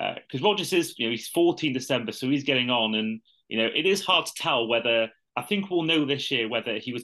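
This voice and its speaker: A man with a British accent talks at a fairly quick pace in a bright, sharp tone, with ordinary pitch variation over a quiet background. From UK. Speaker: podcast host. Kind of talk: casual chat.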